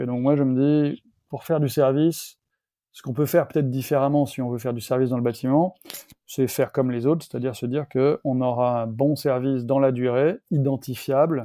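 A man's unremarkable speaking voice, medium in pitch, at a fairly quick pace with fairly even intonation. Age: 50s. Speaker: entrepreneur, founder of a renovation company. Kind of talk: interview.

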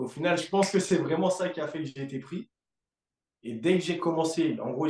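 An unremarkable speaking voice, a man's, runs at a fairly quick pace with a fairly high pitch and ordinary pitch variation. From Africa. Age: 20s. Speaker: fitness coach. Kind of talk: casual chat.

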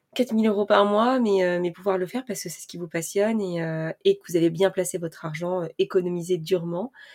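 In a very clean recording with a silent background and a dry, close sound with no echo, a woman speaks at a medium pitch and fairly quick pace with hardly any pauses. Her intonation is fairly even, though her loudness swings widely. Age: 20s. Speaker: personal finance podcaster. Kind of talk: casual monologue. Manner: hesitant, many fillers.

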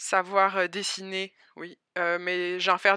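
In a southern French accent, the voice has a bright, sharp tone and monotone, flat intonation, captured in a very clean recording with a silent background and a dry, close sound with no echo. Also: woman. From southern France, Albi near Toulouse. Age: 20s. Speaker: immigrant entrepreneur. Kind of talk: interview testimony.

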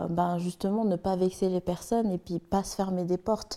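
Monotone, flat speech from a woman at medium pitch, dark and mellow in tone and fairly slow. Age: 20s. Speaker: social media manager in training. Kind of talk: casual chat.

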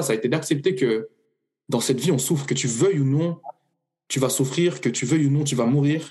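A man speaks at a very fast pace with a fairly high pitch and a somewhat breathy voice. His pitch shows ordinary variation. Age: 30s. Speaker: coach offering personal development sessions. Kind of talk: casual interview. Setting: podcast recording.

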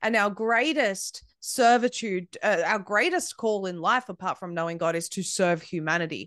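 A woman speaks in an Australian accent at a moderate pace, with ordinary pitch variation. The sound is dry and close with no echo, over a quiet background. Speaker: independent media founder. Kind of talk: interview conversation.

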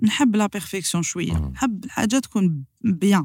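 Somewhat breathy, a woman at a medium pitch speaks at a very slow pace with lively intonation. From Algeria, Sidi Bel Abbes. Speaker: singer of Andalusian music and business owner. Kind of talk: casual interview chat.

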